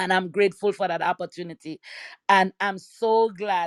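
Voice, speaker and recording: A woman speaks at a medium pitch with a Caribbean accent and an animated tone. The recording is very clean and dry, close-miked with no echo and a silent background. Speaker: church woman. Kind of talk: testimony.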